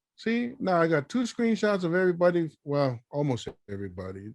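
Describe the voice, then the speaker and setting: A man with a high pitch and an American accent against a quiet background. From Tonga and California. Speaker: men's group director, conference moderator. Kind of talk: casual moderating. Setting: video call. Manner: playful, animated.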